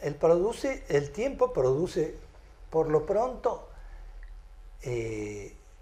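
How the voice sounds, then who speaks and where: A man speaks at a very slow pace. Audible echo from the room surrounds his voice. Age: 70s. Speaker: lecturer on cosmology theory. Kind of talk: lecture. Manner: halting, with many fillers.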